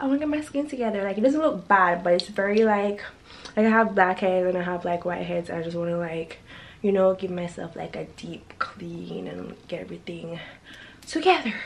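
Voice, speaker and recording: A woman talks at a moderate pace with lively intonation and big swings in loudness. There is light background noise. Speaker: lifestyle vlogger. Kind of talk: casual vlog chat. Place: home room. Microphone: phone near.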